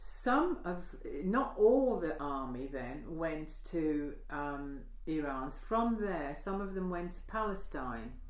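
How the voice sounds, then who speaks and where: Over noticeable background noise and audible room echo, a woman speaks very slowly at a fairly low pitch with very wide pitch swings. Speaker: oral history interviewee. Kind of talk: oral history interview. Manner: halting.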